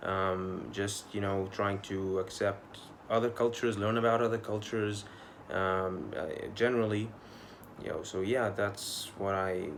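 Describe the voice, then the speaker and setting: A man speaks at a fairly slow pace, his pitch fairly low and his intonation fairly even. Room echo can be heard. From Egypt, Mansoura. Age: 20s. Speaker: pharmacy student. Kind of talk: video application answering interview questions. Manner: hesitant, with fillers.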